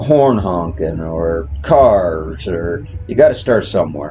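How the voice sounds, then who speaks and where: A man talks with music playing in the background and room echo audible. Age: old. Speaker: horse trainer. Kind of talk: tutorial.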